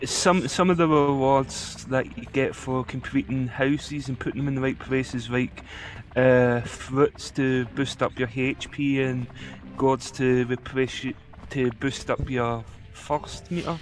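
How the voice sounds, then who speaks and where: Spoken at a fairly slow pace with fairly even intonation, the voice carries a strong Scottish accent. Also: man, medium pitch for a man. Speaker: let's play gamer. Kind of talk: casual chat.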